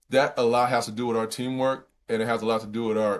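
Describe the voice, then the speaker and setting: A man with an unremarkable speaking voice, medium in pitch, fairly even in intonation and fairly quick in pace, on a very clean recording with a silent background. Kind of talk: interview conversation.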